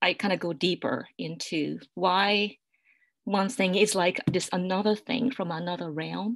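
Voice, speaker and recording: Recorded very cleanly against a silent background, a woman with a medium pitch speaks at a fairly slow pace with a Japanese accent. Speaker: poet. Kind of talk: panel discussion. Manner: halting, many fillers.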